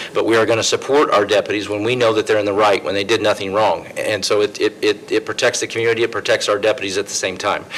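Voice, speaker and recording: Over noticeable background noise, a man talks at a very fast pace with hardly any pauses. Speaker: sheriff, political candidate. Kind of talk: candidate forum answers. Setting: public forum with live audience, streamed.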